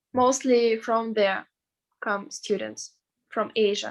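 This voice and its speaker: Speaking at a very slow pace, a woman with a Russian accent keeps a fairly high pitch and fairly even intonation. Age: 20s. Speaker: veterinary student. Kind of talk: interview. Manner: halting.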